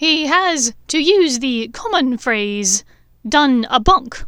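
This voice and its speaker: Putting on a character voice, a woman talks very slowly in a high register with very wide pitch swings. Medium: read story. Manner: brisk, crisp.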